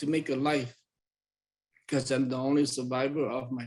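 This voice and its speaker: In a Southeast Asian accent, a man talks at a medium pitch with monotone, flat intonation. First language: Hmong. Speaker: community presenter. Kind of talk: personal testimony.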